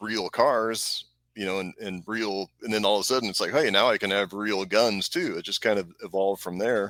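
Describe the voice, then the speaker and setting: A man has a plain, everyday voice with a fairly low pitch and fairly even intonation at a moderate pace. The recording is very clean with a silent background. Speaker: gun accessory maker. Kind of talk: casual chat.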